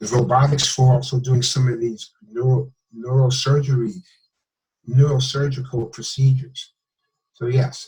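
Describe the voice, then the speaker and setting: A man's medium-pitched, somewhat breathy voice with fairly even intonation and long, frequent pauses. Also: moderate pace. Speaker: medical doctor. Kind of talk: interview. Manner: halting.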